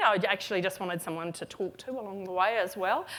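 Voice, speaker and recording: The speaker talks at a moderate pace. There is a slight Australian accent. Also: woman. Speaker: retail consultant, keynote speaker. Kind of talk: conference keynote. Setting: stage with audience. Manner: casual, with many fillers.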